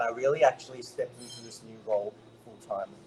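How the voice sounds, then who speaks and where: Speaking with an Australian accent, a man keeps a fairly quick pace. His voice sits at medium pitch. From Australia, Brisbane. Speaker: network marketer, former health professional. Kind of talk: interview testimony. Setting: remote call.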